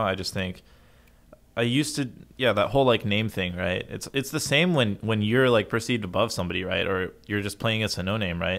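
A man with an American accent, a normal speaking voice, and a fairly quick pace. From United States. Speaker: pro esports player. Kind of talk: casual chat.

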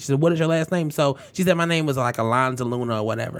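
Noticeable background noise sits behind speech delivered very fast. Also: man. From Detroit, Michigan. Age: 20s. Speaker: podcast host. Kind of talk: casual chat. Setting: studio.

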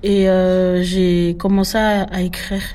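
A woman speaks with monotone, flat intonation. Noticeable background noise sits behind her. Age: 20s. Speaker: rapper. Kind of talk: casual interview.

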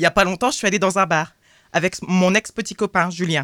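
Bright and sharp in tone, a woman talks at a fairly quick pace in a dry, close sound with no echo. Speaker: radio columnist. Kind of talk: reading aloud. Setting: studio.

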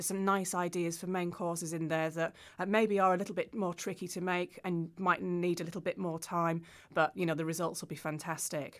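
The speech moves at a fairly quick pace with a British accent. Intonation stays monotone and flat, on a very clean recording with a silent background. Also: woman, fairly low pitch for a woman. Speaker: cookbook author. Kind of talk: casual interview.

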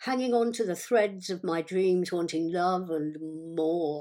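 Female speech, very clean recording, silent background. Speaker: singer and poet. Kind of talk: poetry reading, spoken word, lyrical and reflective, with a bluesy cadence. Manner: measured, rhythmic, unhurried, with expressive pauses.

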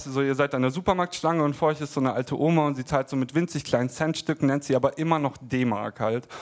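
A man's voice sits fairly high. He talks at a very fast pace. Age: 20s. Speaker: stand-up comedian. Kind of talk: stand-up. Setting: stage with audience.

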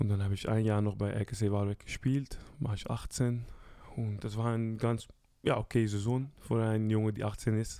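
A man speaks in a dark, mellow tone at a fairly low pitch, his intonation monotone and flat. The recording is very clean with a silent background. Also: moderate pace. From Netherlands (Curaçao roots). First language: Dutch (speaking German). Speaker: professional footballer. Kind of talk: casual interview.

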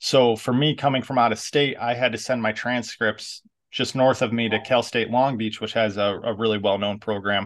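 A man with an American accent has an unremarkable speaking voice, medium pitch and fairly even intonation, talking at a moderate pace with hardly any pauses. The background is quiet. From New York. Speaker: podcast host and adapted PE teacher. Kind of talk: interview, casual conversation.

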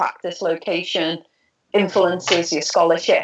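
Speaking at a fairly slow pace, a woman talks with a Liverpool accent. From Liverpool, northwest England. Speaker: professor of religious studies and author. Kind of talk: interview about her book.

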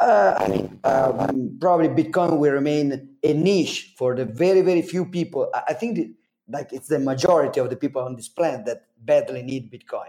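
A man with an Italian accent, a dark, mellow tone, a fairly high pitch and lively intonation. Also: moderate pace. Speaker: Bitcoin advocate and event organizer. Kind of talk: podcast interview. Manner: halting, many fillers.

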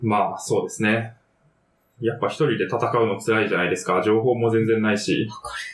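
At a fairly quick pace, a man speaks with a medium pitch and flat, monotone intonation. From Kanto region, Japan. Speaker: podcast host. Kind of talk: casual chat.

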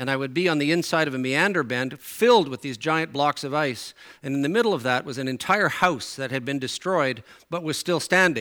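Bright, sharp tone marks this man's voice, pitched fairly high. He moves at a fairly quick pace with lively intonation. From Newfoundland, Canada. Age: 60s. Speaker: preacher. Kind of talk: sermon. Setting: church.

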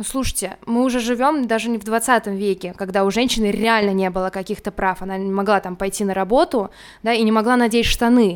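A woman talks at a fairly quick pace in an ordinary speaking voice, her pitch fairly high and her pitch variation ordinary. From Russia, Moscow region. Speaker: teacher. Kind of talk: casual chat.

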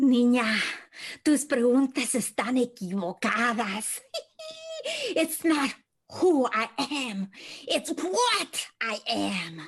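This put-on character voice sits fairly high in pitch and moves very slowly, broken by long, frequent pauses.

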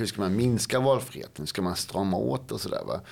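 A man's fairly low pitch with vocal fry and very wide pitch swings, on a very clean recording with a silent background. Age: 50s. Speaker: policy expert and author. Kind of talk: interview conversation. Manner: halting, with many fillers and repetitions.

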